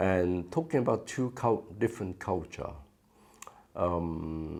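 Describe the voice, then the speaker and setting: A man speaks at a very slow pace. His voice is very deep and low, with lively intonation. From Vietnam. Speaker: former refugee charity director. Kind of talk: interview. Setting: office. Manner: halting, many fillers.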